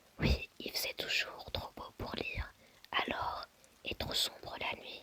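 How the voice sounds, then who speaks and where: Whispering at a fairly slow pace, with noticeable background noise. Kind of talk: novel reading. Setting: low-quality microphone. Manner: whispered.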